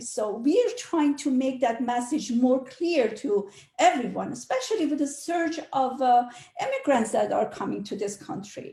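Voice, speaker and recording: Lively intonation at a fairly slow pace, with a non-native accent. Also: woman. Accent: foreign. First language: not English. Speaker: realtor. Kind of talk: panel discussion. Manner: halting.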